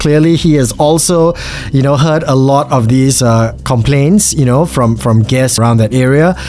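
A man with a medium-pitched voice talks while background noise is clearly audible. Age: 40s. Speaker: podcast host. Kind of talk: casual interview.

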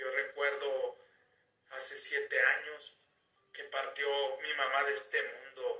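A very slow pace broken by long, frequent pauses. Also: man. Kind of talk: testimony. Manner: heartfelt, slow and emotional, with a sincere, pleading tone.

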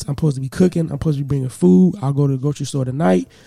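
This man's voice sits fairly high in pitch. It is somewhat breathy. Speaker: podcast host. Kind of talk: casual chat. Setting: studio. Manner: animated.

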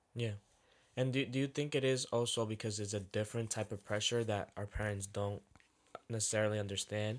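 A man with an unremarkable speaking voice, fairly quick and fairly even in intonation, on a very clean recording with a silent background. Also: fairly low pitch for a man. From Dominican-American household. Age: 20s. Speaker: podcast co-host. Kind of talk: casual chat.

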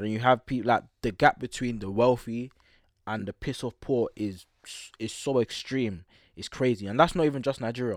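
In a London accent, a man speaks at medium pitch and a moderate pace with ordinary pitch variation. The sound is dry and close with no echo, on a very clean recording with a silent background. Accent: London multicultural youth. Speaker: podcast host. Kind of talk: casual chat. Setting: studio.

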